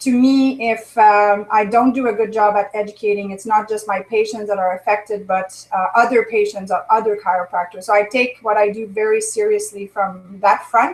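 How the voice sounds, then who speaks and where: A woman in a French Canadian accent, fairly high-pitched, over noticeable background noise. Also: fairly even intonation, moderate pace. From Quebec or French Ontario, small francophone town. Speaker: chiropractor. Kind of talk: interview.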